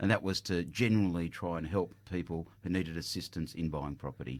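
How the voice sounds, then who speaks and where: With an Australian accent, a man talks at a fairly quick pace in a very deep, low pitch with ordinary pitch variation, on a very clean recording with a silent background. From Australia, Greek parents. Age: 50s. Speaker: property buyer's agent, company director. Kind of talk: radio interview. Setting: radio studio.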